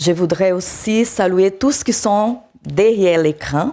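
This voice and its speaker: A woman with a South American accent speaks very slowly at a fairly low pitch. Her tone is dark and mellow, and her intonation is lively. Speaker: preacher. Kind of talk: sermon. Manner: halting.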